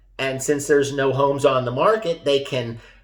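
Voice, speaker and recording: A man's voice, fairly high in pitch and somewhat breathy. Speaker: real estate agent. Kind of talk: market update video.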